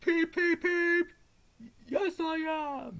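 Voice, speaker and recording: This put-on character voice is squeaky and extremely high-pitched. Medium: read story. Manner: cheerful, spirited.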